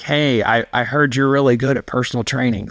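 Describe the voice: The put-on character voice is raspy and moves at a fairly quick pace. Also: man, medium pitch for a man.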